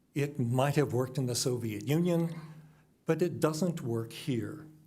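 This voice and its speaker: In a room with audible echo, a man speaks with a fairly high voice and ordinary pitch variation. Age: 70s. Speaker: public commenter at council meeting. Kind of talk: public comment speech. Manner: forceful, indignant.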